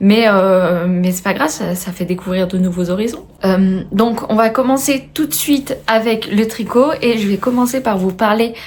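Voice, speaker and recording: Her voice is somewhat breathy, with a fairly high pitch and ordinary pitch variation. The woman speaks at a fairly slow pace. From France, Haute-Savoie. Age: 20s. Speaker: knitting and sewing video podcaster. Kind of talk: casual video podcast chat. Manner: hesitant, many filler words.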